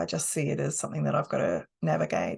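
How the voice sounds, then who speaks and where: Against a quiet background, a woman speaks with an Australian accent. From Australia, South Australia. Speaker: hypnotherapist and coach. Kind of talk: course talk.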